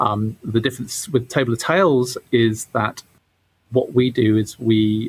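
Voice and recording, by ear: With a medium pitch, a man talks in fairly even intonation.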